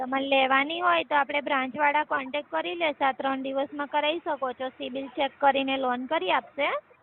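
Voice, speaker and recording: Over noticeable background noise, a woman speaks with a high pitch and fairly even intonation. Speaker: bank loan officer. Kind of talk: call-centre sales call. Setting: phone line.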